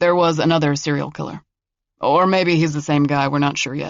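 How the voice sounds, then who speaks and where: In a put-on character voice, a man talks fairly quickly with a fairly high pitch and monotone, flat intonation. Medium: read story. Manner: dry, understated.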